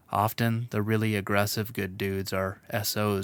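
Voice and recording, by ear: In a natural voice, someone reads aloud.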